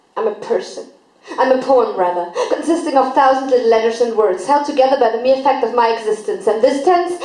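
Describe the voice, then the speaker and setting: Lively intonation at a fairly quick pace. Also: woman. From Germany. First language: German. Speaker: poet, spoken word artist. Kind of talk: slam poetry performance. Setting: live stage event.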